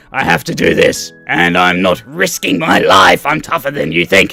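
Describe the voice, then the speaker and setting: A raspy, put-on character voice performs over faint music in the background. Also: man. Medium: game stream.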